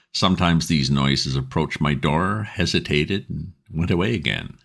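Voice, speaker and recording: Vocal fry runs through a man's very deep, low voice as he talks at a moderate pace with ordinary pitch variation. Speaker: audiobook narrator. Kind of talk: ghost story reading.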